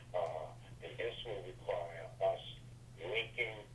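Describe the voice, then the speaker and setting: Speaking at a very slow pace with an American accent, a man is heard with audible room echo. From US Northeast, Brooklyn, New York. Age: 60s. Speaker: author and networking speaker. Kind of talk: interview. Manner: emphatic, preacher-like cadence.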